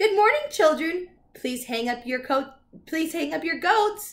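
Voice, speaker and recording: A woman puts on a squeaky character voice at an extremely high pitch, with lively intonation and a moderate pace. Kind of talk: bedtime story. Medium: read story. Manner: cheery, playful.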